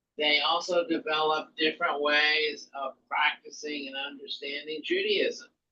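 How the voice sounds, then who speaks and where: A man speaks with a slight Southern US accent at a moderate pace. His tone is bright and sharp, with fairly even intonation. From US South. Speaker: rabbi teaching an intro class. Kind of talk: lecture. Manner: halting, many fillers.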